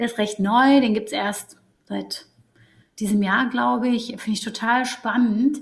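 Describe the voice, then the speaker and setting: A woman's somewhat breathy, fairly high voice with fairly even intonation. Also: fairly slow pace. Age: 30s. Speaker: psychologist working in HR. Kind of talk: interview.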